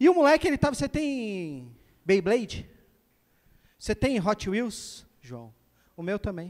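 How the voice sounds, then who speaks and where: In a playful tone, a man with a high pitch speaks at a fairly slow pace with very wide pitch swings over a quiet background. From Brazil. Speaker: stand-up comedian. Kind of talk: stand-up comedy. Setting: stage with audience. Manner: playful, self-mocking storyteller acting out dialogues. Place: stage. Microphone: handheld.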